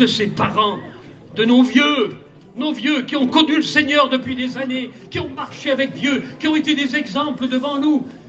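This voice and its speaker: Speaking fairly slowly, a man is heard through audible room echo and noticeable background noise. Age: 70s. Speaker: pastor. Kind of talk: sermon. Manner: animated.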